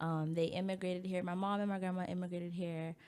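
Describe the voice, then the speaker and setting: In a Baltimore accent, a woman talks at a moderate pace with fairly low pitch and fairly even intonation. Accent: American, Baltimore. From US, Baltimore, Maryland. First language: French. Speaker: college student and pageant titleholder. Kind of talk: interview. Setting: radio studio.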